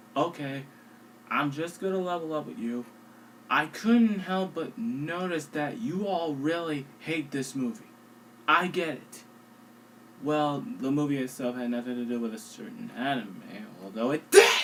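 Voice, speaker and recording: Quiet and fairly slow, a man speaks at a fairly high pitch with very wide pitch swings. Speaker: online film reviewer. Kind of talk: movie review narration.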